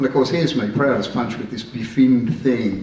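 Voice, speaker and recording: With audible room echo and noticeable background noise, a man of medium pitch talks at a fairly quick pace. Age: 60s. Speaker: car club member. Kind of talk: anecdote at club gathering. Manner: animated.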